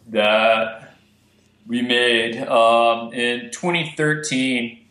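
In an American accent, a man speaks with ordinary pitch variation. Audible room echo surrounds the recording. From Texas, Amarillo. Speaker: filmmaker and conservationist. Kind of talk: casual interview.

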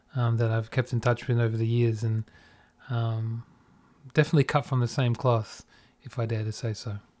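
A man with an Australian accent speaks at a fairly quick pace and medium pitch, somewhat breathy, with monotone, flat intonation and long, frequent pauses. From Australia, Perth. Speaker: podcast host and music producer. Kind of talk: casual chat.

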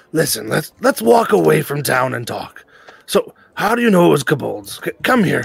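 Using a raspy, put-on character voice, a man speaks at a moderate pace with a fairly high pitch. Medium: actual play.

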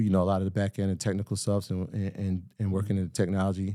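Very fast and fairly low-pitched, a man with a New York accent has a dark, mellow tone, recorded very cleanly against a silent background. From Greenburgh, Westchester, New York. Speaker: financial literacy entrepreneur. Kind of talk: casual interview. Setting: home studio.

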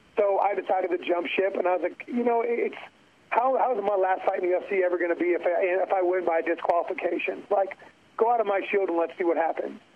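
This man's high-pitched voice races along at a very fast pace, with noticeable background noise behind it. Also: fairly even intonation. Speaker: MMA fighter and former NFL player. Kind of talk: casual interview.

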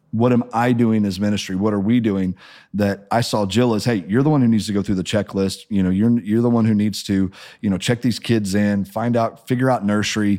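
A man with an American accent talks at a fairly quick pace in a fairly low pitch and a dark, mellow tone. His intonation is fairly even and his loudness very even, on a very clean recording with a silent background. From Missouri, US Midwest. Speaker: pastor. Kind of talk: testimony.

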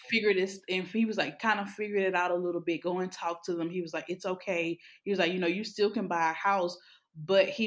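Speaking very fast in a Louisiana accent, a woman keeps a fairly low pitch and fairly even intonation. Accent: Southern US (Louisiana). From Louisiana, Alexandria. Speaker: therapist. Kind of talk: casual interview.

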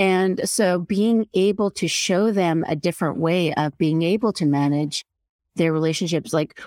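A woman speaks in a plain, everyday voice at a fairly low pitch and a fairly slow pace, with ordinary pitch variation. The recording is very clean with a silent background, dry and close with no echo. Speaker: emotional intelligence coach. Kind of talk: casual interview.

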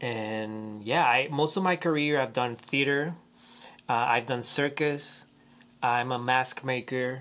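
In a Spanish accent, a man speaks very slowly at a medium pitch with a bright, sharp tone and ordinary pitch variation. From Puerto Rico. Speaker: theater movement teacher. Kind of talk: interview.

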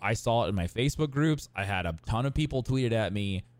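A man with a normal speaking voice talks at a medium pitch and a moderate pace, with lively intonation. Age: 30s. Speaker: podcast co-host. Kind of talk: casual chat. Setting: live stream with chat.

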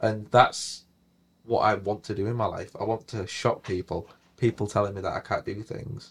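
A man's somewhat breathy, monotone voice with flat intonation at a moderate pace, on a very clean recording with a silent background. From northern England, Hull. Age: 20s. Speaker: property investor. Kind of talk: interview.

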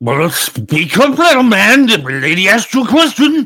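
Raising and projecting his high voice, a man speaks at a moderate pace with very wide pitch swings. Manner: commanding, curt.

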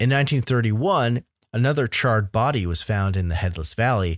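In a very clean recording with a silent background, a man's voice sounds dry and close, with no echo. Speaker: podcast host. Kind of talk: narrated true-crime/legend storytelling, recounting grisly events. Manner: measured, storyteller cadence with ominous emphasis; conversational, enthusiastic.

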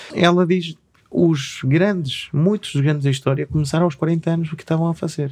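Here a man speaks at a fairly quick pace. His pitch is fairly high and his intonation fairly even. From Chile, Patagonia (Punta Arenas area). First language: Spanish (speaking Portuguese). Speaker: artist and craftsman. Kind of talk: casual interview chat. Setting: studio.

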